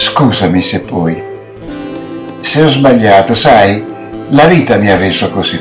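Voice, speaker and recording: Noticeable background noise surrounds a man's voice. He talks very slowly, with long, frequent pauses. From Naples, Italy. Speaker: amateur actor. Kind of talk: poetry reading. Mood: tender, emotional. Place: home room. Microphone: webcam.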